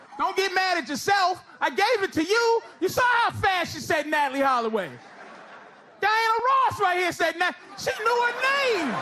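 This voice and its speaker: A man's raised, projected voice in an American accent, extremely high in pitch with very wide pitch swings, over noticeable background noise. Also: moderate pace. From United States. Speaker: stand-up comedian. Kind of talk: live stand-up comedy set. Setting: live audience venue.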